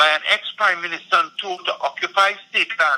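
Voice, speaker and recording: The man projects a raised voice at a moderate pace. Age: 60s. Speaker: environmental activist. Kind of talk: political discussion.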